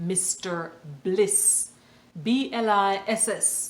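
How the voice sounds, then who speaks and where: A woman talks, with audible room echo around her voice. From Jamaica. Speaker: podcast host. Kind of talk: motivational podcast monologue. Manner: hesitant, with filler words.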